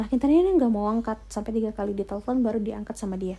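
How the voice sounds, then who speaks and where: A woman's somewhat breathy, dark, mellow voice at a fairly high pitch, on a very clean recording with a silent background. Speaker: ASMR storyteller. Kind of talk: story narration (retelling a sent-in story).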